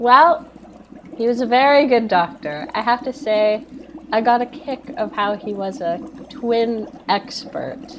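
The pace is fairly slow. Noticeable background noise runs under the voice. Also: woman, high pitch for a woman, lively intonation. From Canada. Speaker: podcast guest, film commentator. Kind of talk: casual chat.

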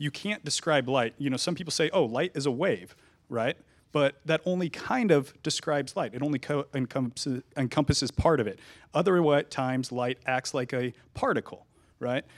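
A man with an American accent has a plain, everyday voice, pitched fairly high, with ordinary pitch variation at a moderate pace on a very clean recording with a silent background. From Nevada (Reno), US. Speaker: physicist. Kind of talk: panel discussion.

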